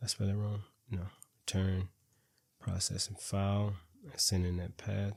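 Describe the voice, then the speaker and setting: Monotone, flat intonation from a somewhat breathy man with a fairly low pitch, on a very clean recording with a silent background. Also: moderate pace. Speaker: programming instructor. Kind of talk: tutorial. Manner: halting, with many repeated words.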